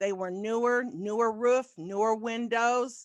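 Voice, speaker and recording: Against a quiet background with a dry, close sound and no echo, a woman speaks in a plain, everyday voice at a fairly slow pace with ordinary pitch variation. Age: 60s. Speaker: real estate agent sharing testimony. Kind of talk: testimony. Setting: video call.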